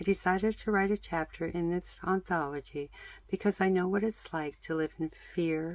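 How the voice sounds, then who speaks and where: With fairly even intonation and a fairly low pitch, a woman uses a normal speaking voice at a moderate pace. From British Columbia, Canada. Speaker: author and DIY content creator. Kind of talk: promotional pitch.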